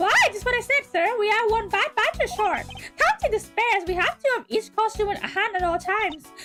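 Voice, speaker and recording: A woman in a put-on character voice at a fairly quick pace, with clear music in the background. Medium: virtual streamer. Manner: earnest, eager, polite.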